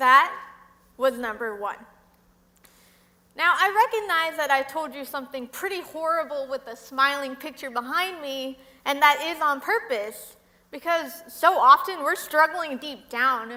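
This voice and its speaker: Projecting a raised voice, a woman with an American accent speaks at a fairly slow pace, her high voice showing lively intonation. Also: big swings in loudness. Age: 20s. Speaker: public speaker on mental illness. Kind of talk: talk to an audience.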